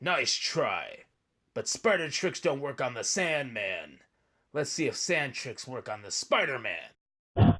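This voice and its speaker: A raspy, cartoonish character voice carries a menacing tone at a fairly slow pace. The recording is very clean, with a silent background. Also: man, fairly high pitch for a man. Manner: menacing, taunting.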